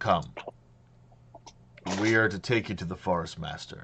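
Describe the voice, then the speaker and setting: A man puts on a character voice, pitched fairly low and delivered at a moderate pace. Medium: actual play. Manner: formal, terse.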